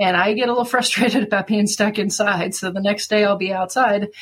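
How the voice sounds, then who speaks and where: With an American accent, a woman talks in a plain, everyday voice, her pitch medium and her intonation fairly even. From central Kansas, US. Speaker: veterinarian, election candidate. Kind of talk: interview.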